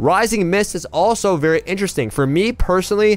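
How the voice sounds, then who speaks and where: A man at a fairly quick pace with lively intonation. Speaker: gaming video creator. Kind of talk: tutorial. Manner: fast; casual.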